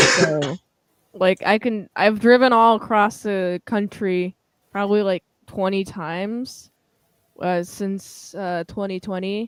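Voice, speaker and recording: A woman with a Western US accent speaks very slowly at a medium pitch. The sound is dry and close, with no echo. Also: fairly even intonation. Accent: Western American, close to Californian. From Washington State, US. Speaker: livestream guest. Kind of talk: casual chat.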